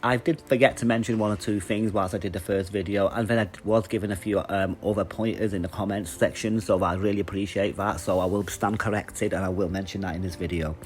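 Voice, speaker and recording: Speaking at a very fast pace with an English accent, a man keeps a fairly low pitch and fairly even intonation. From England, Manchester. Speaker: YouTuber reviewing comic conventions. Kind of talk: casual vlog review. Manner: casual, with many fillers.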